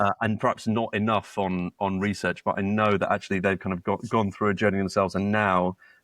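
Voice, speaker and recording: A man with a British accent speaks at a fairly quick pace with hardly any pauses. His fairly low pitch stays monotone and flat, and the sound is dry and close with no echo. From UK. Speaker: startup co-founder. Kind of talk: podcast interview. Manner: halting, many repetitions and fillers.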